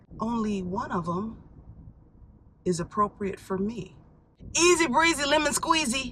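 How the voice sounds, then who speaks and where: A woman speaks at a moderate pace with very wide pitch swings over noticeable background noise. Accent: American. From Chicago. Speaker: actress and voice actor. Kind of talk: casual talk to camera. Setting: inside a parked car. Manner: chatty, flustered.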